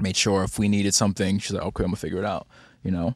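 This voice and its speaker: Dry and close with no echo, a man's fairly low voice comes out in monotone, flat intonation. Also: very clean recording, silent background. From Barbados. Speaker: singer-songwriter. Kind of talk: casual chat.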